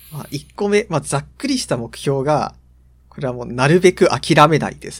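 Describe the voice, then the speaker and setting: A man speaks at a fairly high pitch with vocal fry and ordinary pitch variation. His loudness swings widely. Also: moderate pace. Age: 20s. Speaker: podcast co-host, university student. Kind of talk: casual chat.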